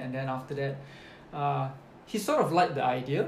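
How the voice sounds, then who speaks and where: Over noticeable background noise and audible room echo, a man speaks at a fairly quick pace with fairly even intonation. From Malaysia. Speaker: business manager. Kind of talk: interview. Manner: hesitant, many fillers.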